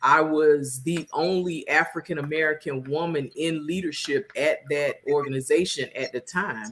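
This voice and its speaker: With a very deep, low pitch, a woman speaks at a moderate pace with fairly even intonation and hardly any pauses. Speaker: event planning business owner. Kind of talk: interview conversation.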